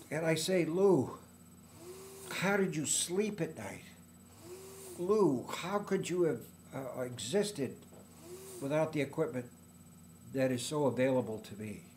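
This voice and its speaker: A man's lively intonation broken by long, frequent pauses, with audible room echo. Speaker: vlogger living with ALS. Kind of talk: personal video diary. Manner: halting; more animated with mask.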